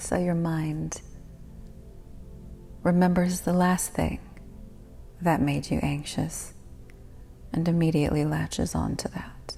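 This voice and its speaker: Music plays in the background as a woman speaks in a soothing tone. Her pace is very slow. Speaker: guided meditation host. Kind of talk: guided meditation. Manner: soothing, whispery.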